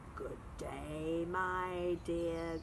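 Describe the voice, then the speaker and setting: A woman growls in a put-on character voice with a fairly low pitch. Loud background noise runs behind her. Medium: read story. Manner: sly, growling.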